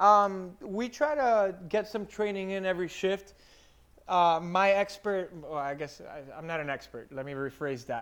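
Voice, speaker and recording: An American-accented man with a high voice speaks fairly slowly, with an animated tone, lively intonation and big swings in loudness. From Miami, Florida. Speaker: firefighter. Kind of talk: casual chat.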